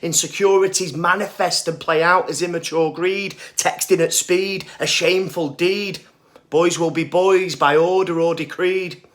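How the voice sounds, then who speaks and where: Speaking high-pitched and fairly slowly, a man uses a bright, sharp tone with ordinary pitch variation. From Northern England. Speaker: spoken word poet. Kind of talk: poetry reading.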